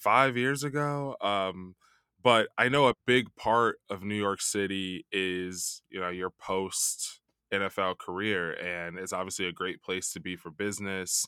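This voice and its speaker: A man with an American accent speaks at a fairly slow pace, his pitch fairly low and its variation ordinary. The tone is bright and sharp, the sound dry and close with no echo, and the recording very clean over a silent background. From Chicago. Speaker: podcast host. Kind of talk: casual interview.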